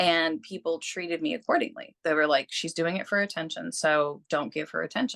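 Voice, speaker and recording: With a plain, everyday voice, a woman speaks at a fairly quick pace and fairly low pitch with ordinary pitch variation, the sound dry and close with no echo over a quiet background. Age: 40s. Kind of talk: interview.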